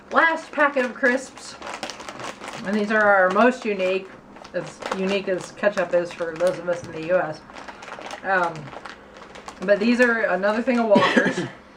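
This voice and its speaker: At a moderate pace with long, frequent pauses, a woman with an American accent and medium pitch speaks with lively intonation and big swings in loudness over noticeable background noise. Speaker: video blogger. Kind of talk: casual chat.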